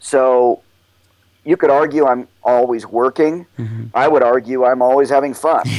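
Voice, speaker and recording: The speaker has a normal speaking voice and an American accent. Intonation is fairly even, and the pace is moderate. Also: man, medium pitch for a man. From Oklahoma. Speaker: mountaineer and nonprofit director. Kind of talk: interview.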